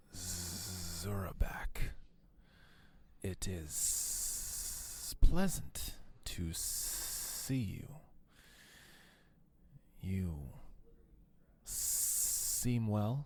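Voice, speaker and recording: In a put-on character voice, a man talks very slowly, leaving long, frequent pauses. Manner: formal, courteous, serpentine.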